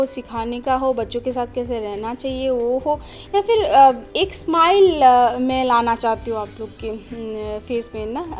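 A woman speaks high-pitched at a fairly slow pace with ordinary pitch variation, faint music playing in the background. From Assam, India. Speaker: vlogger. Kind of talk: casual vlog talk to camera. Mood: warm, friendly. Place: home room. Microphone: phone near.

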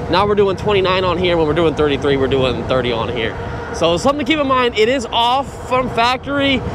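Noticeable background noise behind a man's dry, echo-free voice. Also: moderate pace. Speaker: e-bike reviewer. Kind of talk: casual vlog commentary. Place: bicycle. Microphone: helmet.

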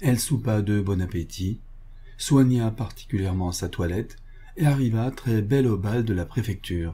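A natural reading voice moves through ordinary pitch variation.

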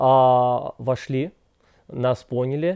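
The background is quiet. A man speaks in a dark, mellow tone. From Krasnoyarsk, Russia. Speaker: migrant guest. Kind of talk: interview answers. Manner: formal. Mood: calm, earnest. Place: home room. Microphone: lapel.

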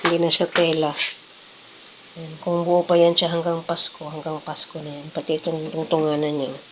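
A woman with a fairly low pitch speaks at a moderate pace in a monotone, flat way. Her loudness swings widely, and there is noticeable background noise. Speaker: cooking vlogger. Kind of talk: casual vlog narration.

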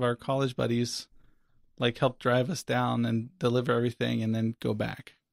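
A man with an American accent has a plain, everyday voice, medium pitch and a fairly quick pace. The recording is very clean with a silent background and a dry, close sound with no echo. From US South (Florida). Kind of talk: testimony.

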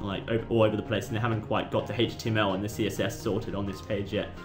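Music plays in the background. A man speaks at a fairly low pitch. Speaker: YouTube tutorial maker. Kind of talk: casual screen-recording tutorial. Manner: casual, hesitant with fillers.

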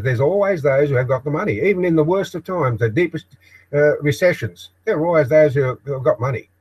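Against a quiet background, a man with an Australian accent talks at a very fast pace in a fairly high pitch, sounding somewhat breathy. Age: old. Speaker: video blogger. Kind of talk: live-stream monologue. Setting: home shed office, live broadcast. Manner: halting. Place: workshop. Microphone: webcam.

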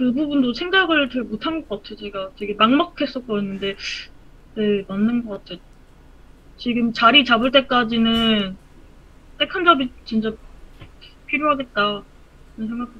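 A woman with a bright, sharp tone talks at a fairly slow pace, using lively intonation, big swings in loudness and long, frequent pauses. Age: 30s. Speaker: aspiring 3D modeler. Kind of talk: casual advice conversation. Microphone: video call.

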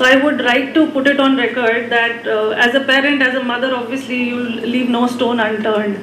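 A woman talks at a fairly quick pace in a high voice with monotone, flat intonation. Audible room echo and light background noise fill the recording. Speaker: mother of a heart transplant patient. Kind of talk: personal testimony. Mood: grateful, emotional, warm. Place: hall. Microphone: podium.

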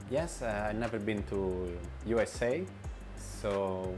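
A man's fairly low voice over music in the background. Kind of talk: interview answer. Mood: relaxed, friendly. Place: home room. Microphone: lapel.

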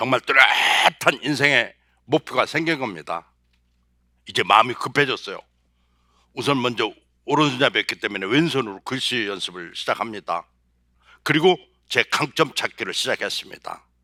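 This voice has vocal fry and a bright, sharp tone, with long, frequent pauses, and the sound is dry and close with no echo. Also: man, medium pitch for a man, lively intonation, moderate pace, very clean recording, silent background. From South Chungcheong, Korea. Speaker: motivational speaker, former marketing executive. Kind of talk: motivational talk. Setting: stage with audience.

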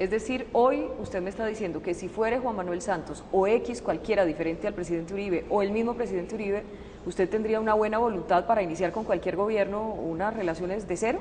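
A woman's very fast delivery with hardly any pauses and ordinary pitch variation, over light background noise. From Colombia. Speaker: journalist. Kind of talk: interview. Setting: presidential palace. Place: hall.

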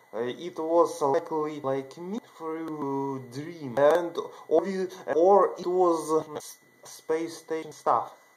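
A man with a non-native accent and a fairly high pitch, very slow pace, fairly even intonation. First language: not English. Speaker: video channel creator. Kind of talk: monologue telling a personal story to camera. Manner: halting. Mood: earnest, excited. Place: home room. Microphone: webcam.

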